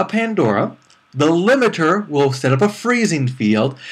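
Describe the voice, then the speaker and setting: At a fairly slow pace, a man with an American accent talks in very wide pitch swings. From US Northeast. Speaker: anime reviewer. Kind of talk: review monologue. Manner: casual, conversational.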